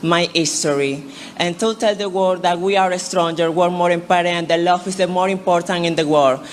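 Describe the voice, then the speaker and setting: Talking at a fairly quick pace, a woman speaks at a fairly low pitch with fairly even intonation over noticeable background noise. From Venezuela. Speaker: pageant contestant. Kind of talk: pageant question answer. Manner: halting.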